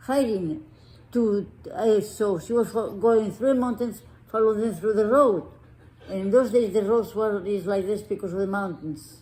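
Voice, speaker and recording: Speaking at a moderate pace with a Spanish accent, a woman has a fairly high pitch, ordinary pitch variation and a dark, mellow tone. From Spain. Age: 80s+. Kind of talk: interview answer.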